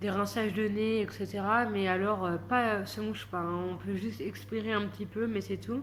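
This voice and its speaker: A woman speaks with hardly any pauses, and audible room echo surrounds her voice. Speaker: vlogger. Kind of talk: casual vlog monologue. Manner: soft-spoken, slow; hesitant, many fillers.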